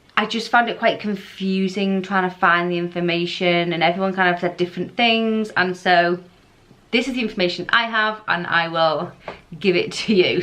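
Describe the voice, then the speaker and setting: In a British accent, a woman speaks with a bright, sharp tone and fairly even intonation. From England. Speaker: foster carer vlogger. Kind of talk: casual informational vlog.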